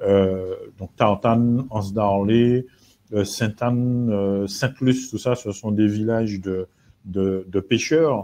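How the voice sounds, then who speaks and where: Against a quiet background, a man speaks at a very slow pace in a fairly low pitch, his tone dark and mellow and his intonation fairly even. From Martinique. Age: 50s. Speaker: real estate agent. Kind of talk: live webinar presentation. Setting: live video webinar. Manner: halting, many hesitations.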